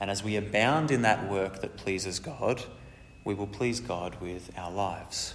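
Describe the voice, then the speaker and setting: A man with a fairly low pitch is heard in a room with audible echo and noticeable background noise. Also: ordinary pitch variation, fairly slow pace. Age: 30s. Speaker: preacher. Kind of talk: sermon.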